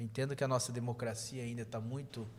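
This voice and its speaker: A man talks at medium pitch in a somewhat breathy voice. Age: 30s. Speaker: state legislator. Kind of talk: podcast interview.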